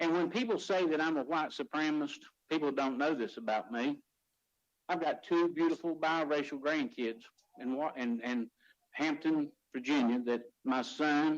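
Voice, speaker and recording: Fairly high-pitched male voice at a moderate pace, with long, frequent pauses, ordinary pitch variation and very even loudness. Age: 60s. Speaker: county commissioner. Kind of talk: public meeting statement. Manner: emotional, impassioned.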